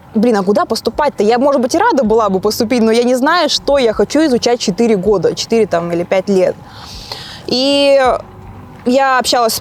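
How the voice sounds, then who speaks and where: Fairly high female pitch with ordinary variation from a woman, over noticeable background noise. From Russia. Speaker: interviewee sharing her life story. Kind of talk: interview. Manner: casual, with frequent hesitation fillers.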